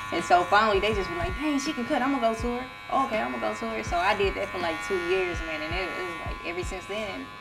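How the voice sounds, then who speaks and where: Speaking very fast, a woman is heard with audible room echo and noticeable background noise. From Texas, Fort Worth. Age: 30s. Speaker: barber. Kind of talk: casual chat. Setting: barbershop suite.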